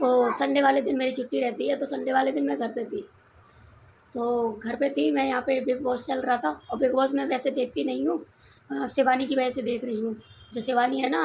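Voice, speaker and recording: Her pitch high, a woman speaks at a moderate pace. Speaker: vlogger. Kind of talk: casual vlog storytelling.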